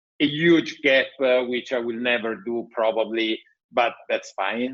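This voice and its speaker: A man speaks with an Italian accent. His pitch is medium, with ordinary variation. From Italy. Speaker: tech entrepreneur. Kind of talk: podcast interview.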